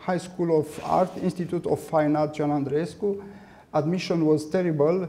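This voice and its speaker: A man's fairly high voice with a Romanian accent, monotone and flat in intonation, very even in loudness, at a moderate pace. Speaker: artist and art professor. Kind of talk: lecture. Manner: halting.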